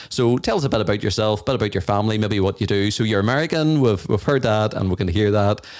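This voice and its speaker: Hardly pausing at all, the speaker races along at a very fast pace with an Irish accent, ordinary pitch variation and very even loudness. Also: man, fairly low pitch for a man. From Ireland. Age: 40s. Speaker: podcast co-host. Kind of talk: casual chat. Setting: podcast recording.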